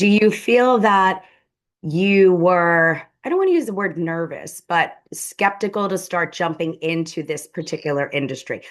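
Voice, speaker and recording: Against a quiet background, a woman with a New York accent talks at a moderate pace in a fairly low pitch with ordinary pitch variation. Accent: New York accent, prominent. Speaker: podcast host, business strategist. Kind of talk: interview.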